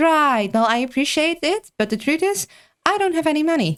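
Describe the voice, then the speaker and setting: Doing a put-on character voice, a woman sounds squeaky at a high pitch with very wide pitch swings, keeping a moderate pace and very even loudness in a dry, close recording with no echo. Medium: virtual streamer.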